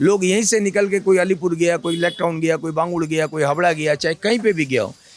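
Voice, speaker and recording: Noticeable background noise sits behind a man's high voice. His pitch varies in an ordinary way. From Kolkata, India. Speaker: street food shop owner. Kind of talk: interview.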